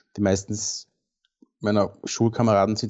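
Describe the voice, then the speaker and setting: A man talks at a moderate pace in a plain, everyday voice. His pitch is fairly low and his intonation fairly even. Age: 40s. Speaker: landscape and commercial photographer. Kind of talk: casual interview.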